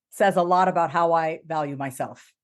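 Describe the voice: A woman at a fairly low pitch and a moderate pace, on a very clean recording with a silent background.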